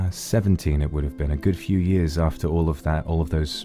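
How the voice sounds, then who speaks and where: Music plays behind a man as he talks. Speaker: virtual streamer. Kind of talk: casual talk to camera.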